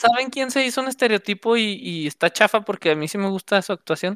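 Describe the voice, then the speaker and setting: A woman's medium-pitched voice in a Mexican accent, moderate in pace, with very wide pitch swings, a dry, close sound without echo and a very clean recording against a silent background. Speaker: podcast co-host. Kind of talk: casual chat. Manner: animated.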